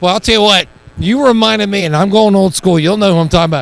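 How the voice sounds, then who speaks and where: Ordinary pitch variation runs through a man's high-pitched voice. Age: 60s. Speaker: sports broadcaster. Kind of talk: post-game interview.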